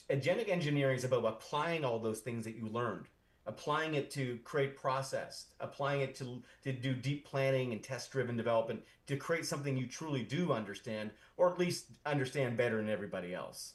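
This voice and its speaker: This man talks at a fairly quick pace in a medium pitch, somewhat breathy, with ordinary pitch variation. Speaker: founder of an AI community, tech speaker. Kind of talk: conference talk. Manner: fast; halting, many repetitions.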